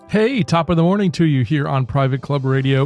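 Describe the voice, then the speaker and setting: Music plays behind a man who talks at a fairly quick pace. His intonation is lively. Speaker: podcast host. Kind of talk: interview questions, casual podcast talk.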